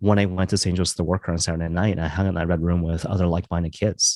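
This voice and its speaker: A man with a very deep, low pitch and a western Canadian accent, talking at a very fast pace, the sound dry and close with no echo. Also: very clean recording, silent background. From western Canada (Maple Ridge, British Columbia). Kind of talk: casual interview chat. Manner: casual, filler-heavy, laughs often.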